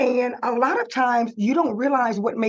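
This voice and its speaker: Using an American accent, a woman with a high pitch talks at a moderate pace. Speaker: digital marketing consultant. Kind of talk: webinar presentation. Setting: live webinar, screen sharing.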